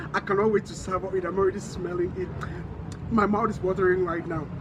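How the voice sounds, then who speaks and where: With noticeable background noise behind him, a man talks at a fairly quick pace. His pitch is high and his intonation fairly even. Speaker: online talk show host. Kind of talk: casual vlog monologue.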